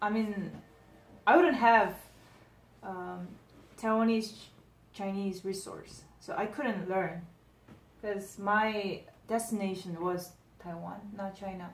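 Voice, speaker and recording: A woman at a very slow pace with a Korean accent, medium pitch, fairly even intonation, long, frequent pauses and big swings in loudness, amid audible room echo. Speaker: language learner. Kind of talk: casual interview.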